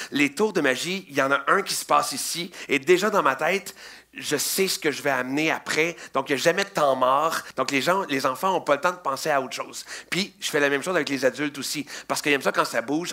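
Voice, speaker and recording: With a Quebec accent, a man talks at a fairly quick pace in an animated tone with ordinary pitch variation, over noticeable background noise. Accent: Québécois French. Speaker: children's magician. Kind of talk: interview.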